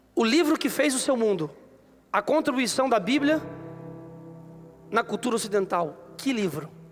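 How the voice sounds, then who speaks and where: A man speaks at an extremely high pitch, his voice swinging very widely up and down at a very even loudness. He leaves long, frequent pauses while music plays in the background. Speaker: pastor. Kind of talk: sermon. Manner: fast; animated.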